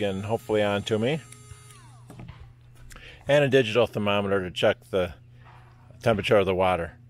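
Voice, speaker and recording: A man's unremarkable speaking voice, fairly low in pitch and fairly quick, with a dry sound and no echo. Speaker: camping DIY vlogger. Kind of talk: casual tutorial narration. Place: garden. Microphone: phone near.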